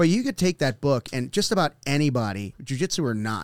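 A man's fairly high-pitched, very fast speech with very wide pitch swings and a dry, close sound with no echo. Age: 50s. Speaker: podcast host and jiu-jitsu academy owner. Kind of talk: casual interview chat; show intro and outro.

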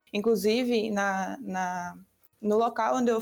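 Her fairly high pitch and fairly even intonation mark a woman's unremarkable speaking voice. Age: 20s. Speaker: university student. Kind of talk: casual discussion podcast.

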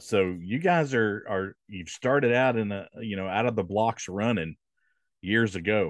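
A man with a plain, everyday voice, fairly slow pace and ordinary pitch variation, dry close sound with no echo against a quiet background. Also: fairly low pitch for a man. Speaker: podcast host. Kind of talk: casual interview.

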